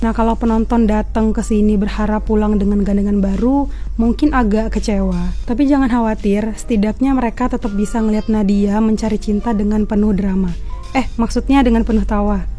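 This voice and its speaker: A fairly high-pitched woman talking fairly quickly, monotone and flat, at very even loudness with music in the background. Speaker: reporter. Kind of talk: comedy event review voice-over. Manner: soft-spoken.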